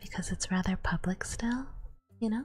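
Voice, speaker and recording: A woman's fairly high-pitched voice with very wide pitch swings, music in the background. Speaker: ASMR streamer. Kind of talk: casual talk to camera, live stream chat with viewers. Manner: soft-spoken.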